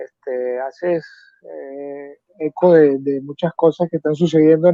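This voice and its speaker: His pitch fairly high, a man speaks with fairly even intonation. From Venezuela, San Cristóbal (Andes). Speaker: volunteer soldier. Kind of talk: interview. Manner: hesitant, many fillers.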